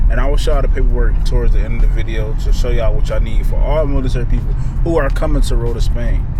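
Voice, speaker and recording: Over loud background noise, a man talks at a very fast pace with an extremely high pitch, ordinary pitch variation, very even loudness and a dry sound with no echo. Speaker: vlogger, military service member; vlogger. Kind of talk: casual vlog. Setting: outdoors at dealership. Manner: animated.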